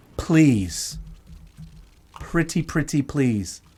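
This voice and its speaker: A man speaks loudly in an animated tone. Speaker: live show host. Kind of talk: casual live-stream chat.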